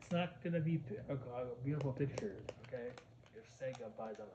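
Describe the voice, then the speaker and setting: Speaking at a fairly quick pace and medium pitch, a man shows ordinary pitch variation and big swings in loudness, with noticeable background noise and audible room echo. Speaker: gaming commentator. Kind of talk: casual rant vlog. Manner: halting, many repetitions; animated.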